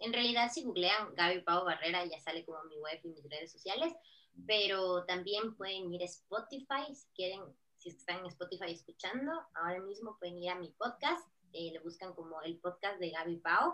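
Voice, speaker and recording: A woman speaks in a plain, everyday voice at a medium pitch and moderate pace. Her pitch varies in an ordinary way while her loudness swings widely. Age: 30s. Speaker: digital marketing consultant. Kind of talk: podcast interview.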